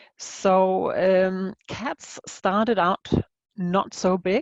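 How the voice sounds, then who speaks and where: Recorded against a quiet background, a woman's voice comes across dry and close with no echo. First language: not English. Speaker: aphasia researcher. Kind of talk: conference presentation. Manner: halting, many fillers.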